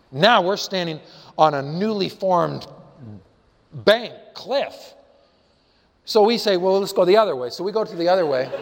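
Over audible room echo, a man with a high pitch and an American accent speaks at a moderate pace with ordinary pitch variation and long, frequent pauses. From Colorado, US. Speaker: preacher. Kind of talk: sermon.

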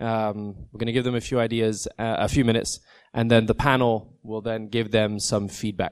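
A man speaks against a quiet background. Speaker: panel moderator. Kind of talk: panel Q&A. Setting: conference stage with audience.

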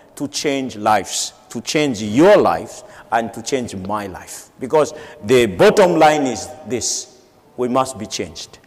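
Amid noticeable background noise, a man speaks at a very slow pace with lively intonation. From Madagascar. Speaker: church leader. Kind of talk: sermon. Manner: halting, with frequent fillers.

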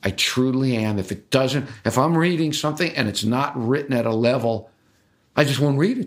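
Recorded very cleanly against a silent background, a man with an unremarkable speaking voice talks at a moderate pace and medium pitch, with ordinary pitch variation. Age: 60s. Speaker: writer and editor. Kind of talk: interview. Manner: conversational, with frequent repetitions.

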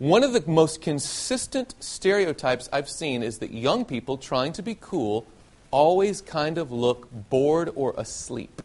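A man with a Southern US accent talks at a fairly slow pace. His fairly high voice moves in very wide pitch swings. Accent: faint Southern US. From US South, Nashville, Tennessee. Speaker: preacher. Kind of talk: sermon.

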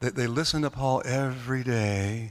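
A man with an American accent speaks at a fairly slow pace in a normal speaking voice, his medium pitch rising and falling in ordinary measure. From US South, North Carolina. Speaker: seminar presenter. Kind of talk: seminar lecture.

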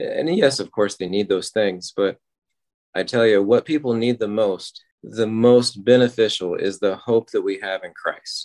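A man with an American accent speaks in an ordinary speaking voice at a medium pitch and a fairly slow pace. The sound is dry and close with no echo, against a quiet background. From Oklahoma. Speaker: disaster response missionary. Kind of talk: live field report. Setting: remote call from Ukraine.

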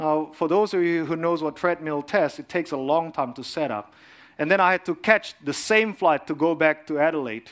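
A fairly high-pitched man speaks with an Indonesian accent at a moderate pace. The recording is very clean, with a silent background. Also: ordinary pitch variation. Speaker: cardiologist and lay preacher. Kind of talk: sermon.

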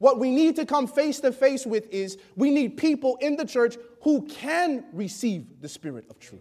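Talking in an animated, passionate tone with an American accent, a man uses an extremely high pitch and big swings in loudness. He leaves hardly any pauses. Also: ordinary pitch variation, moderate pace. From Chicago, US Midwest. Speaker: preacher. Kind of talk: sermon with congregation call and response. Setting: church, in front of congregation. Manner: animated, passionate, preacherly; rhetorical, calls for amens.

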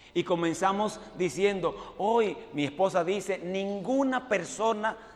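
This man's voice is high-pitched and animated. Noticeable background noise runs underneath. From Dominican Republic. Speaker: preacher, evangelist. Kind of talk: sermon.

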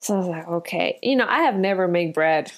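A woman in a Spanish accent with lively intonation on a very clean recording with a silent background. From Colombia. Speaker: restaurant owner. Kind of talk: interview testimony.

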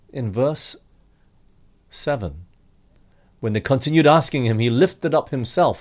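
With lively intonation and vocal fry, a man talks at a moderate pace in a fairly high pitch, leaving long, frequent pauses in a very clean recording with a silent background. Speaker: preacher. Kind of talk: sermon.

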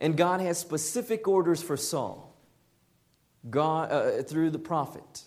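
Speaking at a fairly slow pace, a man with an American accent has a fairly high pitch, with audible room echo in the recording. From Southern California. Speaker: lay preacher. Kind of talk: sermon.

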